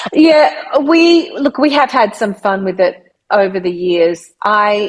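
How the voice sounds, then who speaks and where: A woman's very slow, fairly high-pitched speech in an Australian accent, with very wide pitch swings and very even loudness. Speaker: voice artist and speaker. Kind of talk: interview answer.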